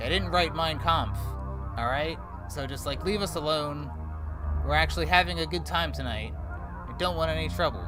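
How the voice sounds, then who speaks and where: Loud music plays behind a man doing a shrill, put-on character voice at a moderate pace. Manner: defensive, pleading.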